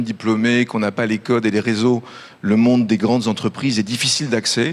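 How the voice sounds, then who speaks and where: At a fairly quick pace comes a normal speaking voice. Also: man. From France (urban priority zones), born in Italy. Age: 40s. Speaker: business executive. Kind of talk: conference panel speech.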